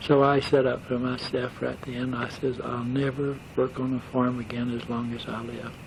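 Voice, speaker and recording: A man's medium-pitched, monotone voice with flat intonation over noticeable background noise. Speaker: war veteran; operating engineer. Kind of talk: oral history recollection. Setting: home tape recording. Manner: hesitant, rambling.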